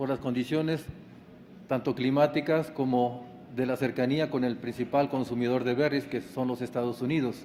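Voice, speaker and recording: In a normal speaking voice, the words come at a moderate pace with ordinary pitch variation. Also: man. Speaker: agronomy lecturer. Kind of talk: conference talk.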